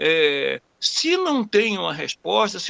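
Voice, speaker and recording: A man speaks with a dry, close sound and no echo. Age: 60s. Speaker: webinar participant asking a question. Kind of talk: personal question during a webinar Q&A. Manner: halting, many repetitions and fillers.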